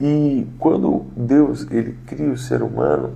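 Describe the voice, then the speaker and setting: Soft-spoken, a man talks with audible room echo around him. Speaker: pastor. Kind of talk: devotional sermon livestream. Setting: home livestream. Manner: soft-spoken, talking quietly; hesitant fillers.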